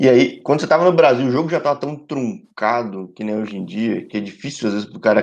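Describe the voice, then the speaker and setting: The pace is very fast. A man talks with ordinary pitch variation. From Brazil, São Paulo. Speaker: sports channel host. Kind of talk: casual interview livestream. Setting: live stream. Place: home room. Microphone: video call.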